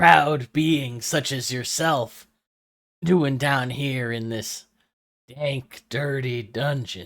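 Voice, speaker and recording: A man puts on a character voice that is gravelly and raspy, at a medium pitch and a very slow pace. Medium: actual play.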